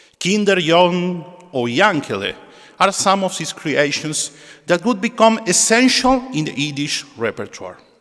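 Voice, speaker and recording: Over noticeable background noise, a man speaks at a fairly slow pace in a high voice. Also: lively intonation. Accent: Argentine. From Argentina. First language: Spanish. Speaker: synagogue musician and presenter. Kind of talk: spoken introduction at a concert. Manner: halting.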